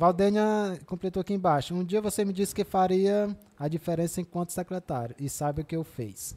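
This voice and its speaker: At a fairly quick pace, a man with a high pitch and a dark, mellow tone speaks with ordinary pitch variation. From Ceará, Brazil (Quixadá). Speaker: podcast host. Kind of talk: live podcast interview.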